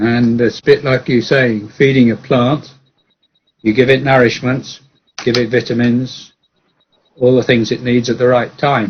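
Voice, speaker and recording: A man with an English accent speaks somewhat breathily at a medium pitch, with monotone, flat intonation, a fairly slow pace and long, frequent pauses. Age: 70s. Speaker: engineer and mathematician. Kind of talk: casual chat. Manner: halting.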